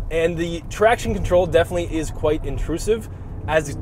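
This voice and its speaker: A man talks fairly quickly with lively intonation, the sound dry with no echo but with noticeable background noise. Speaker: car reviewer driving. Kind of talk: casual review commentary. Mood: excited, amused. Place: car.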